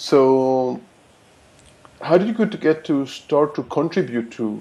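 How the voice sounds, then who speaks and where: With a strong non-native accent, a man talks at a very slow pace, his fairly high pitch carrying lively intonation and a dark, mellow tone. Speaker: podcast host. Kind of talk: interview.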